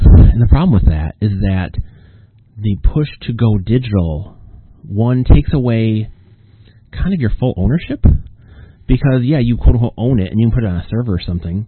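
A man talks at a moderate pace with a medium pitch and lively intonation. Long, frequent pauses break up his speech. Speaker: podcast host and author. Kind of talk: solo casual monologue. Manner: rambling, hesitant with fillers.

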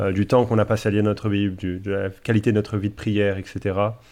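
A man speaks at a moderate pace in an ordinary speaking voice, fairly low in pitch. The background is quiet. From Paris region, France. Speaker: pastor and theology author. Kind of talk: casual theological discussion.

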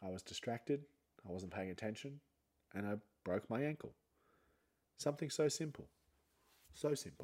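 With an Australian accent, a man speaks at a moderate pace and medium pitch, using lively intonation and long, frequent pauses. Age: 30s. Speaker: podcast host and comedian. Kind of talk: casual solo monologue. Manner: animated.

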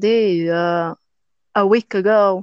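A woman speaks in an Albanian accent at a medium pitch. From Albania, Durrës. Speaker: podcast guest, English learner. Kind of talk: casual interview. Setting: online call. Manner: halting, non-fluent. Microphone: poor connection, voice fades out at times.

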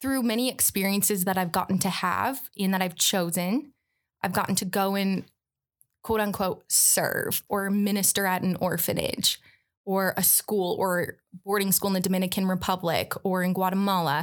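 An unremarkable speaking voice from a woman with an American accent, moderate in pace, fairly even in intonation and very even in loudness, on a very clean recording with a silent background. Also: medium pitch for a woman. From Michigan, Metro Detroit. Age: 20s. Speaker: nonprofit worker. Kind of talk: casual chat.

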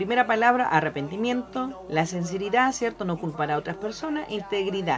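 A woman speaks at a moderate pace with lively intonation. She leaves hardly any pauses amid noticeable background noise. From Argentina, then Chile. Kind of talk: casual Bible teaching chat.

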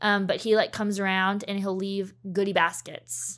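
A woman speaks in an unremarkable speaking voice at medium pitch and a moderate pace, on a very clean recording with a silent background. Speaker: education worker and blog writer. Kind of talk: casual interview chat.

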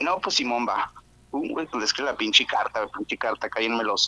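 A man in a northern Mexican accent talks at a fairly quick pace and a medium pitch. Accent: northern Mexican (Monterrey). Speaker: podcast caller. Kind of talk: casual chat. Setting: remote call.

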